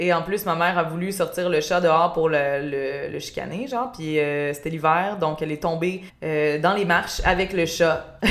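With a fairly low pitch and ordinary pitch variation, a woman speaks at a moderate pace. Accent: Quebec. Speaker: podcast host and YouTuber. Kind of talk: casual chat. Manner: relaxing.

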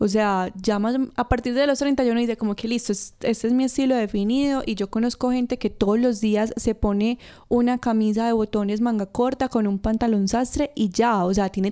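In a very clean recording with a silent background, a woman with a normal speaking voice talks at a moderate pace, fairly high in pitch, with fairly even intonation and hardly any pauses. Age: 20s. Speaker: costume designer. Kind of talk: casual interview chat.

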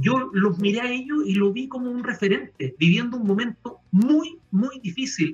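A man with a Chilean accent, his pitch extremely high, with hardly any pauses and noticeable background noise. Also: lively intonation, moderate pace. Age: 50s. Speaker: retail executive. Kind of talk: panel interview.

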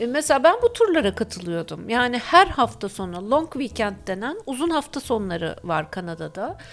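A high-pitched woman's voice at a moderate pace, with hardly any pauses, very wide pitch swings and big swings in loudness. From Turkey, Izmir and Ayvalık. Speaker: scuba diver and former Canada emigrant. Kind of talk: radio interview.

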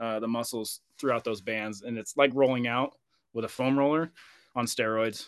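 Against a quiet background, a man with an American accent uses a normal speaking voice at a moderate pace. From Oregon, US. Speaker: firefighter and endurance runner. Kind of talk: casual interview chat.

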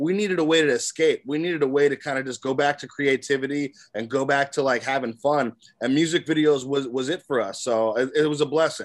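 A man's ordinary speaking voice, fairly high in pitch, with ordinary pitch variation and a fairly quick pace. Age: 30s. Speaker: songwriter and producer. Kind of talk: casual interview.

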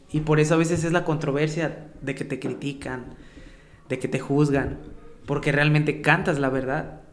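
Audible room echo and noticeable background noise surround a man's fairly high voice. He speaks at a moderate pace with monotone, flat intonation. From Mexico, Xalapa area (San Bruno). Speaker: street rapper. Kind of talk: casual chat.

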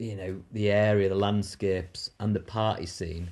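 Against a quiet background, a man with a fairly low pitch and fairly even intonation speaks in an unremarkable speaking voice. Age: 40s. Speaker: rock climber and author. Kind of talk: casual chat.

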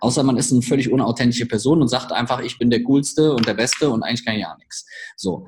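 The speech races at a very fast pace with fairly even intonation. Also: man, medium pitch for a man. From Germany, village. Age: 30s. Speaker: startup coach. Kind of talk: podcast interview.

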